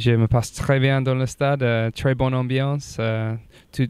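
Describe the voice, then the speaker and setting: A very slow man's voice with a slight English accent and monotone, flat intonation. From England. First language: English (speaking French). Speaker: rugby player. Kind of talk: interview. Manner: halting, many hesitations.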